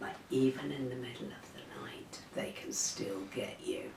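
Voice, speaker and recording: A woman talks at a fairly slow pace. Audible room echo and noticeable background noise surround her voice. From North Yorkshire, England. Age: 60s. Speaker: retired teacher. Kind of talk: casual interview.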